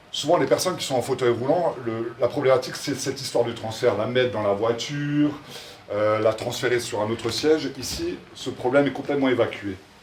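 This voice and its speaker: At a fairly quick pace, a man of medium pitch speaks with ordinary pitch variation over noticeable background noise. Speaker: social entrepreneur presenting his project. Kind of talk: public presentation. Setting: event in front of an audience, no microphone. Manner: loud.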